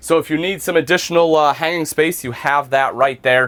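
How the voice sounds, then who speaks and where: An enthusiastic man with an American accent speaks at a moderate pace. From US Midwest. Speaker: RV salesman and reviewer. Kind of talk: product review walkthrough. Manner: casual, enthusiastic.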